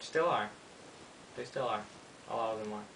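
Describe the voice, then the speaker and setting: A man speaks at medium pitch. Noticeable background noise and audible room echo fill the recording. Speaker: YouTuber teaching witchcraft. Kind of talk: tutorial. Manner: fast; casual, hesitant with many ums.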